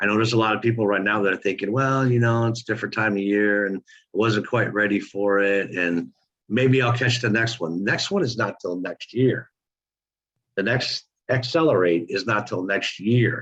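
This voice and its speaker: Ordinary pitch variation in a fairly low male voice, delivered at a moderate pace. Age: 60s. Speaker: online marketing coach. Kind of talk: motivational group call talk. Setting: conference call. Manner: animated.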